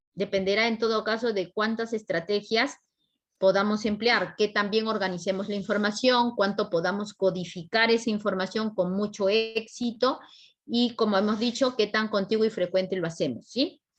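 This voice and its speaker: A woman's fairly high voice at a moderate pace, fairly even in intonation, a plain, everyday voice against a quiet background. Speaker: psychology teacher at exam prep academy. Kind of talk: lecture.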